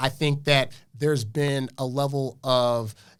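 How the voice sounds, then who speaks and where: Recorded very cleanly against a silent background, a man with an American accent speaks with a fairly high pitch and fairly even intonation. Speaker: dating advice guest. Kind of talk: podcast debate. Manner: fast.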